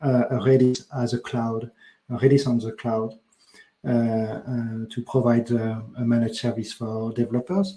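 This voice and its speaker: Speaking at a moderate pace, a man with a French accent has a dark, mellow tone. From France. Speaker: developer advocate. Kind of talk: tech talk. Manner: hesitant, many fillers.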